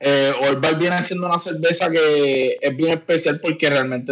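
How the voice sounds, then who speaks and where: A man with a plain, everyday voice speaks at a moderate pace with fairly even intonation. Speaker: craft brewer. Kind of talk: casual chat.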